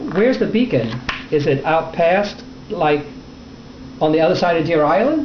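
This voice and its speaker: Against noticeable background noise, a man with high pitch and lively intonation speaks at a moderate pace and very even loudness, leaving long, frequent pauses. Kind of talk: interviewer questions.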